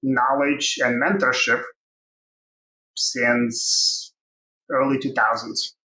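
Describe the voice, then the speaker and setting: A man speaks with a Russian accent. His pitch shows ordinary variation. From Ukraine. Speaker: tech company co-founder and CTO. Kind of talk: interview.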